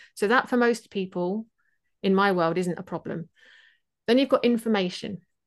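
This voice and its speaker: With an English Midlands accent, a woman speaks at a medium pitch and a moderate pace, her pitch varying in an ordinary way, with long, frequent pauses against a quiet background. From England, Leicestershire (East Midlands). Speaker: productivity mentor. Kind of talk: interview conversation.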